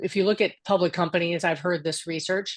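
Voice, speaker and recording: A woman's voice sits at a medium pitch as she speaks. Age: 60s. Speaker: board career speaker. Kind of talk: panel discussion. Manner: halting, many restarts.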